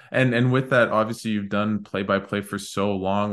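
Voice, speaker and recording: In a Canadian accent, a man speaks with a fairly low pitch. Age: 20s. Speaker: podcast host. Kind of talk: casual interview.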